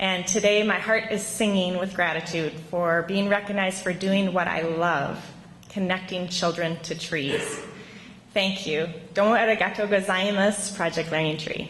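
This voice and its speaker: A woman with a Minnesota accent speaks at a moderate pace and medium pitch, her intonation fairly even, over noticeable background noise and audible room echo. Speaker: teacher. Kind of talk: award acceptance speech. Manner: hesitant, many ums.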